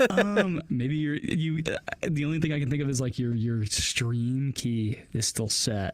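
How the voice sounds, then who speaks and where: Over noticeable background noise, a man with a fairly high pitch speaks at a fairly slow pace with very even loudness and hardly any pauses. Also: lively intonation. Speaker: podcaster. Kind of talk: casual chat.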